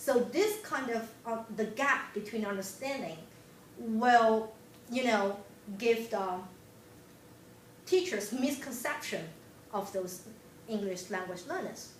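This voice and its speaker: A woman with a Chinese accent and a fairly high pitch speaks very slowly with long, frequent pauses and lively intonation, and room echo is audible. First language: Mandarin Chinese. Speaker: graduate student presenter. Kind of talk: class presentation. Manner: halting.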